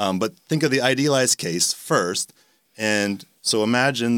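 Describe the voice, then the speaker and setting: A man with a Canadian accent and a plain, everyday voice, lively intonation, and a very clean recording with a silent background. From Canada. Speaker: philosophy professor. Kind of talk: casual interview.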